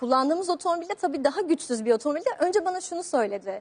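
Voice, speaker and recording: A calm tone at a fairly quick pace, with very wide pitch swings. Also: woman. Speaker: rally driver.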